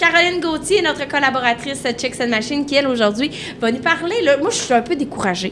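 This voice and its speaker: Speaking at a fairly quick pace, a woman with a high pitch uses lively intonation against noticeable background noise. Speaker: podcast host. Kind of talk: casual chat. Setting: outdoor bar on location.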